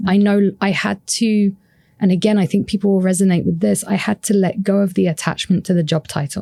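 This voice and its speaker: Fairly quick speech from a woman at medium pitch, somewhat breathy, with a dark, mellow tone, very even loudness, and fairly even intonation. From UK. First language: French. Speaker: happiness researcher and author. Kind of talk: podcast interview.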